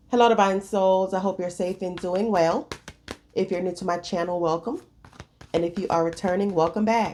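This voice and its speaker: Against noticeable background noise, a woman speaks at medium pitch with fairly even intonation. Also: moderate pace. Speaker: tarot reader. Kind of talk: tarot reading monologue. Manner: casual, chatty.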